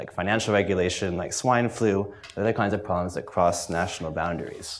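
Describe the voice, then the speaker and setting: Very fast, a man speaks at a fairly low pitch. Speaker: university researcher. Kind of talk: presentation. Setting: stage with audience. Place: meeting room.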